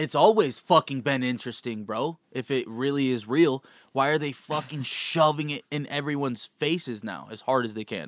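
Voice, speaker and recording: With an ordinary speaking voice, a man at a fairly high pitch talks at a moderate pace with ordinary pitch variation and hardly any pauses, in a dry, close sound with no echo on a very clean recording with a silent background. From born in Kansas, moved in fifth grade. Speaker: podcast host. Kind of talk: casual chat.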